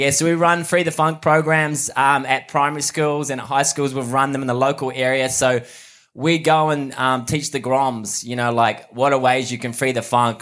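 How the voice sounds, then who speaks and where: A man with a New Zealand accent, medium pitch, moderate pace, fairly even intonation and hardly any pauses. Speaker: mental health charity founder. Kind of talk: talk to a live audience. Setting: outdoors in front of a live audience.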